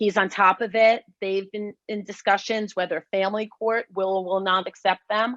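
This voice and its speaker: A woman's plain, everyday voice at medium pitch and moderate pace, dry and close with no echo, over a quiet background. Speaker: lawyer. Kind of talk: panel presentation.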